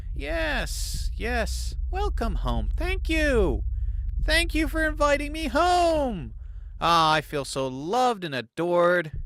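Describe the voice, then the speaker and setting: Using a put-on character voice, a man speaks at a high pitch. He goes at a fairly slow pace. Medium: game stream. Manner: exaggerated, mock-unhinged.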